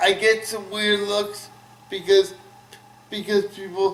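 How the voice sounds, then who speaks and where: A man talks very slowly at a high pitch in an American accent. Noticeable background noise can be heard. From Burke, Virginia. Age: 30s. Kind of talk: interview answer. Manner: halting, repetitive.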